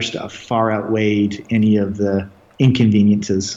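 A man speaks at a medium pitch with a western Canadian accent. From Canada, Red Deer, Alberta. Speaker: tech entrepreneur. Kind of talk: interview.

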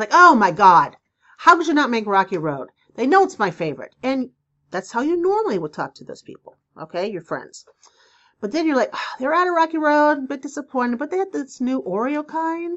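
A woman's high-pitched voice at a fairly quick pace, with very wide pitch swings and big shifts in loudness. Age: 50s. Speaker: spiritual advice podcaster. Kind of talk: solo podcast monologue. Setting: home video recording. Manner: casual, chatty.

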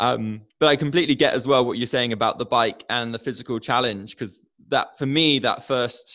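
This man has a normal speaking voice, medium in pitch, with fairly even intonation and a moderate pace. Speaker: podcast host. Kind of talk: interview. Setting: virtual studio, video call.

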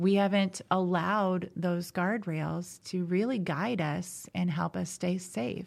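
Speaking with an American accent, a woman keeps a very slow pace with hardly any pauses, her fairly low pitch showing ordinary variation in a very clean recording with a silent background. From US Midwest, southern Indiana. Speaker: life coach. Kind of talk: podcast interview. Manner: frequent laughter.

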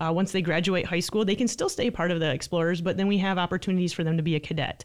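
Speaking very fast with an American accent, a woman keeps her intonation fairly even. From Michigan, St. Johns. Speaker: police sergeant. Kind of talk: casual interview. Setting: studio.

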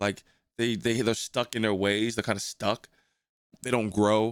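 A man with an American accent speaks at a moderate pace in a flat, monotone delivery, captured in a very clean recording with a silent background. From New Jersey. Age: 40s. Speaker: podcast host. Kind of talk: casual chat. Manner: relaxed, halting with fillers.

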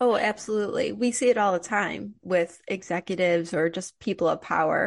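Vocal fry runs through a woman's medium-pitched voice. She talks at a moderate pace with ordinary pitch variation. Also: dry, close sound with no echo, quiet background. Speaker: podcast host. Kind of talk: interview.

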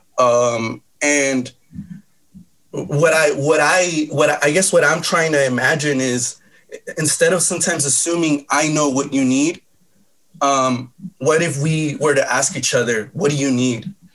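A man with an American accent uses a plain, everyday voice, fairly high-pitched, with fairly even intonation and a fairly slow pace. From Los Angeles. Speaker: pastor. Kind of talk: debate.

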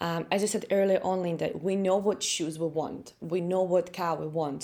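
A woman speaks in a Russian accent with a fairly low pitch. Her tone is dark and mellow, with ordinary pitch variation. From Latvia. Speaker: personal growth coach and speaker. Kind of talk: interview conversation. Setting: remote call from home.

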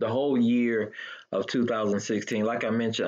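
A man speaks at a moderate pace with ordinary pitch variation and a plain, everyday voice. The background is quiet. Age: 40s. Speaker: colon cancer survivor. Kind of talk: interview.

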